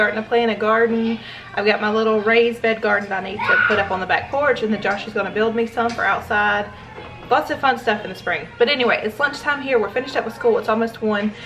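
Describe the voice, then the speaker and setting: Over clear background music, a woman talks at a very fast pace with fairly even intonation. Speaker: family vlogger mom. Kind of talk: casual vlog chat. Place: kitchen. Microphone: phone near.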